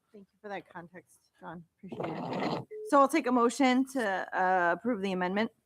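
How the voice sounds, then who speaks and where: With a dry, close sound and no echo, a woman speaks at a medium pitch, her intonation lively and her loudness swinging widely. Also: fairly quick pace. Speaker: board chair. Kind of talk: board meeting chairing. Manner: fast.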